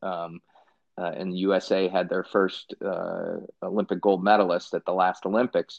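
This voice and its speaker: At a moderate pace, a man with an American accent and a very deep, low pitch talks with fairly even intonation. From Chicago west suburbs, Illinois. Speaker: lawyer and finance company founder. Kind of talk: casual interview.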